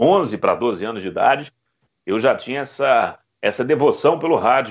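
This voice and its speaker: A man speaks here. His pitch swings very widely. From Belo Horizonte, Minas Gerais, Brazil. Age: 30s. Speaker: radio football commentator. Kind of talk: interview. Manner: emotional, shouting goal calls.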